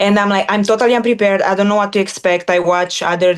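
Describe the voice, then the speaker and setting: The speech moves at a very fast pace. Noticeable background noise runs behind it. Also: woman. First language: not English. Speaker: former MMA fighter turned analyst. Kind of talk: interview.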